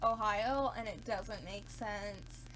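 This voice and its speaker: Speech with an American accent comes at a very slow pace, with vocal fry and audible room echo. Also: woman. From US South, Georgia. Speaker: beauty vlogger. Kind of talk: casual chat. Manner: animated.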